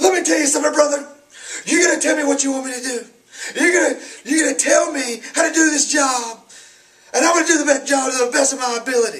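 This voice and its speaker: A man's put-on character voice, extremely high in pitch, at a very fast pace. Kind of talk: promo-style talk. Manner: fired up, pushy.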